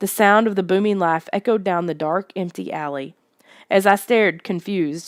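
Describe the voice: The clip is plain reading aloud. Its pitch varies in an ordinary way, and the setting is quiet.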